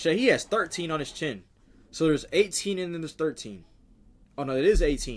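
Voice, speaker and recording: Animated in tone, a man talks at a fairly quick pace and a fairly high pitch, with lively intonation broken by long, frequent pauses. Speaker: streamer reacting to videos. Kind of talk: live stream reaction commentary. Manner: fast.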